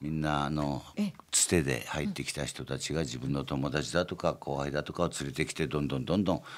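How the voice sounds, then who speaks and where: Very deep and low, this man's voice carries vocal fry. He moves at a fairly quick pace with fairly even intonation. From Gunma, Japan. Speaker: company chairman. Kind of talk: interview. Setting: studio.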